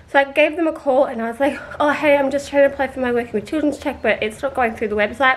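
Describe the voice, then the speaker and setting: Very fast and high-pitched, a woman talks with an Australian accent and ordinary pitch variation. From Australia, rural New South Wales. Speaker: vlogger. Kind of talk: casual vlog storytelling.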